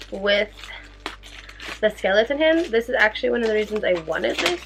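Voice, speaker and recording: Music plays behind a woman speaking in an upbeat, excited tone. Her fairly high pitch makes very wide swings. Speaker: makeup and beauty vlogger. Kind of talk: casual talk to camera.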